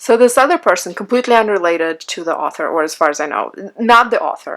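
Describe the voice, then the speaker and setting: A woman's fairly high, fast-moving voice with very wide pitch swings and a non-native accent. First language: not English. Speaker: beauty blogger and online group admin. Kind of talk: casual monologue reading comments.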